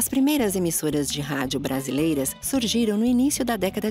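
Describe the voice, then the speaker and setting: A woman speaks at a moderate pace with very wide pitch swings. Music plays in the background. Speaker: voice actor. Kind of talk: informative podcast narration.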